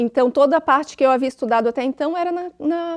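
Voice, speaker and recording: Recorded with a dry, close sound with no echo, a woman talks at a fairly quick pace with ordinary pitch variation. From Santa Catarina, Brazil (Tubarão). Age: 40s. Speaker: writer. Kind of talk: TV interview.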